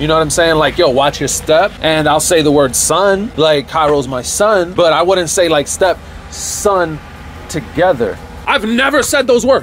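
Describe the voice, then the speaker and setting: Music plays behind a man speaking at a fairly slow pace. His intonation is lively. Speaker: family vlogger. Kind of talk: casual vlog chat. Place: garden. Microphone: phone near.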